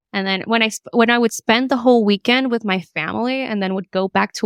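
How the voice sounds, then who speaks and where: Speaking in a Spanish accent at a moderate pace, a woman keeps fairly even intonation in a dry, close sound with no echo. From Latin America, lived in Florida ages 5 to 10. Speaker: podcast co-host. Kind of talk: casual chat. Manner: hesitant with frequent repetitions.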